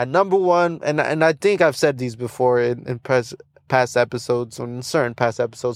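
Speaking at a fairly quick pace, a man sounds animated, with ordinary pitch variation. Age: 20s. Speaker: hip hop podcast host. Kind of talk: casual solo podcast talk.

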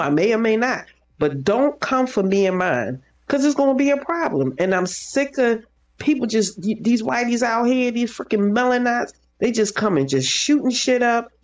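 A woman's fairly high, lively voice with an American accent, a plain, everyday voice at a moderate pace with very even loudness. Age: 50s. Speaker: social worker. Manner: loud, fiery, indignant.

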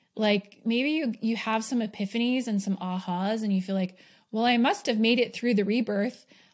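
In a very clean recording with a silent background, a woman with an American accent speaks at a moderate pace, somewhat breathy and fairly high in pitch, with fairly even intonation and very even loudness. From New York. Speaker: podcast host and business coach. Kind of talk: solo podcast monologue. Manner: casual, filler-heavy with frequent laughs.

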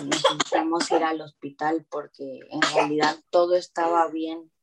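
Using a normal speaking voice, a woman talks at a fairly slow pace in a fairly low pitch with fairly even intonation. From Mexico, Veracruz. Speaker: new mother sharing birth story. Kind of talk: interview testimony.

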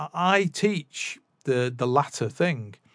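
A man speaks with a Mancunian accent and lively intonation. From northern England, Manchester area. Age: 40s. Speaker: podcaster and music teacher. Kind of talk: casual monologue. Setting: home recording setup. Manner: hesitant, many fillers.

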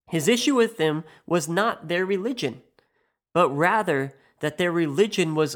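A man with a Midwestern US accent speaks in a high voice on a very clean recording with a silent background. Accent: US Midwest. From US Midwest. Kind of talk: scripted monologue podcast.

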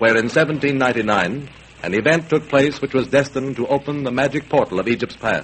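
Over noticeable background noise, the speaker uses a dramatic tone at a fairly quick pace. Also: man. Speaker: vintage radio narrator. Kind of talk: 1930s radio documentary narration, archive recording. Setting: old radio broadcast. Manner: formal, dramatic, declamatory, mid-Atlantic announcer style.

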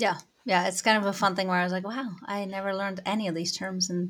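The recording is very clean, with a silent background. The speaker talks very fast with a Dutch accent and fairly even intonation. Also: woman. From Netherlands. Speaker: cycling journalist. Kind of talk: casual interview. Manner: uses many fillers.

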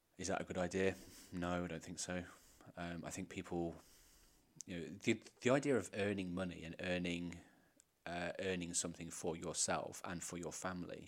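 In an English accent, a man with a very deep, low pitch speaks at a moderate pace with fairly even intonation and long, frequent pauses. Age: 30s. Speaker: podcast co-host. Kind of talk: casual chat.

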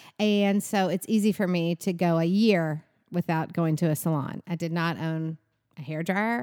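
The sound is dry and close with no echo. A woman speaks at a fairly low pitch with fairly even intonation. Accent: Southern US. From Kentucky, Bowling Green. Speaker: salon business owner. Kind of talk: interview, casual chat.

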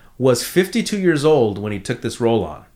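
In a very clean recording with a silent background, a man with a fairly high pitch speaks at a fairly quick pace. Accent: Californian. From US West Coast, San Fernando Valley. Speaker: comedian, co-host. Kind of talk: casual chat. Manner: animated.

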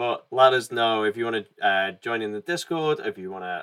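Speaking at a moderate pace with an English accent, a man uses a fairly low pitch and ordinary pitch variation. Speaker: podcast host. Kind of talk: casual chat.

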